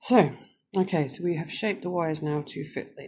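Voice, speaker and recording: This woman keeps a moderate speed, and her pitch moves in an ordinary way. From England, Northamptonshire area. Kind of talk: tutorial. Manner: casual, with frequent fillers.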